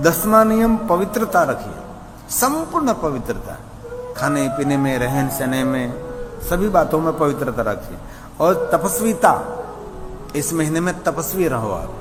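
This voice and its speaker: A man with a Gujarati accent, fairly high pitch and very wide pitch swings, long, frequent pauses, audible room echo and noticeable background noise. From Gujarat, India. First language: Gujarati (speaking Hindi). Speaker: religious storyteller. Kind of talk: religious discourse.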